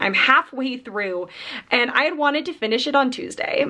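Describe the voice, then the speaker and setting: A woman talks at a moderate pace with lively intonation. The background is quiet. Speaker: book vlogger. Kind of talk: casual vlog chat. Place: home room. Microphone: phone near.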